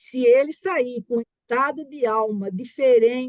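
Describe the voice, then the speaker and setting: A woman with an ordinary speaking voice talks at a fairly high pitch with ordinary pitch variation, recorded dry and close with no echo. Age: 60s. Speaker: family business founder, board member. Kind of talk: personal story in webinar.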